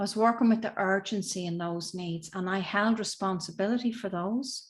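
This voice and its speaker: In a very clean recording with a silent background, a woman with an Irish accent speaks at a moderate pace with a medium pitch and fairly even intonation. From Southern Ireland. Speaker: emotional intelligence and communication coach. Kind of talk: interview answer.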